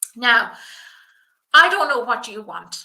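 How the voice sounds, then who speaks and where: This woman has a bright, sharp tone and an Irish accent. Her pace is moderate, with ordinary pitch variation. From rural south of Ireland. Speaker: business coach for personal stylists. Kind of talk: live webinar presentation. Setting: livestream. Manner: enthusiastic.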